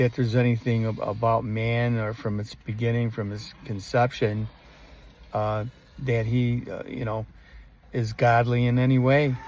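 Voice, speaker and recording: A man at a medium pitch and moderate pace, in a monotone, flat intonation. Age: 70s. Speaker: author and religious commentator. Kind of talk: monologue talk. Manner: halting, many fillers.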